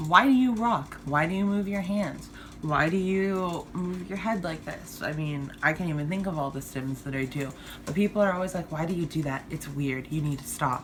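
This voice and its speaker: A woman's fairly low voice at a moderate pace, ordinary pitch variation, audible room echo in the space. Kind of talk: personal vlog monologue. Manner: stumbles over words, slurs; hesitant, many fillers.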